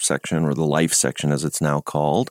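The recording is very clean and the background silent as a man talks with an American accent. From US Midwest. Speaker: journalist. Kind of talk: radio interview. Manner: good-humored.

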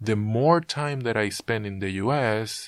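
A man with a Spanish accent speaks at a fairly slow pace and a fairly low pitch, with ordinary pitch variation. The recording is very clean, with a silent background. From Puerto Rico. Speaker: composer. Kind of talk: interview.

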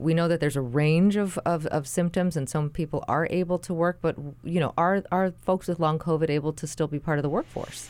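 A normal speaking voice moves at a fairly quick pace with fairly even intonation and hardly any pauses. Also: woman, fairly low pitch for a woman. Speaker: radio host. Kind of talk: radio interview. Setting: studio.

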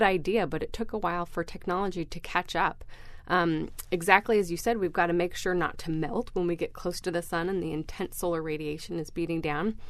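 Using a plain, everyday voice, a woman talks at a fairly quick pace with a fairly low pitch and fairly even intonation. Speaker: research scientist. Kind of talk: radio interview.

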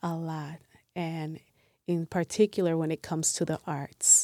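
A woman with a Spanish accent speaks in a fairly low pitch with a dark, mellow tone and monotone, flat intonation. The recording is very clean with a silent background, and the sound is dry and close with no echo. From Puerto Rico, Ponce, moved to Milwaukee at 13. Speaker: artist and community member. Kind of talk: interview.

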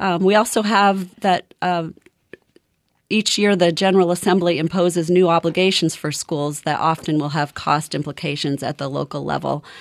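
Speaking at a moderate pace, a woman has a normal speaking voice. Her pitch is fairly low and her intonation fairly even. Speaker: head of a school board association. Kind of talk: radio interview.

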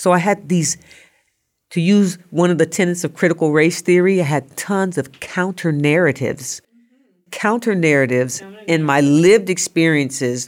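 A woman with an American accent and a plain, everyday voice talks at a moderate pace, her fairly low pitch carried by lively intonation. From US Midwest, Nebraska, military family. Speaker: social work professor. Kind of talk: interview.

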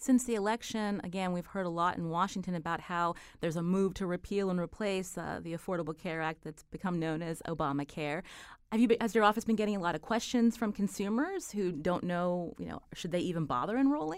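A woman talks at a fairly quick pace and a medium pitch in an unremarkable speaking voice. Her pitch variation is ordinary, and the recording is very clean with a silent background. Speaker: radio host. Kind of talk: radio interview. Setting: studio.

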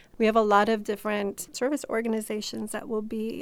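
An ordinary speaking voice with an American accent moves at a moderate pace on a very clean recording with a silent background. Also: woman. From Chicago. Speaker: nonprofit co-founder. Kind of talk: radio interview.

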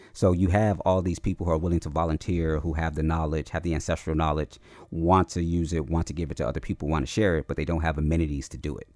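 Over a quiet background, a man with a very deep, low pitch and an American accent speaks at a very fast pace with hardly any pauses and fairly even intonation. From Chicago West Side, US. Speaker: architect and artist, professor. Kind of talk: interview conversation.

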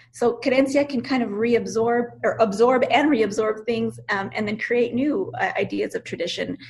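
A fairly high-pitched woman with a New Mexico accent, ordinary pitch variation and hardly any pauses. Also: moderate pace. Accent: New Mexican English. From US Southwest (Albuquerque, New Mexico). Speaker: professor and author. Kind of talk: interview.

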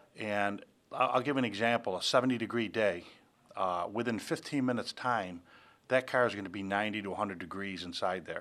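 This is an ordinary speaking voice from a man, fairly low in pitch with ordinary pitch variation. He moves along at a fairly quick pace. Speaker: police officer. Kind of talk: interview.

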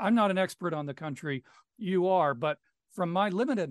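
Lively intonation marks a man talking in a normal speaking voice. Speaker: radio host. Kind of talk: interview. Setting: studio.

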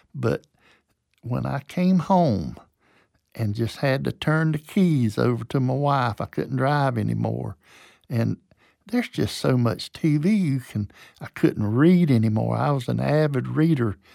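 A man with a Southern US accent at a fairly slow pace, in a dry, close sound with no echo and a very clean recording with a silent background. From US South, Georgia. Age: 70s. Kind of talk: interview, personal storytelling. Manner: informal, halting with repeated words.

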